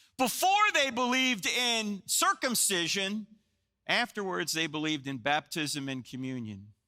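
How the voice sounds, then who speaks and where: In a raised, projected voice with an American accent, a man speaks at a fairly slow pace with an animated tone, his high pitch swinging very widely. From New Jersey. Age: 60s. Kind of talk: sermon.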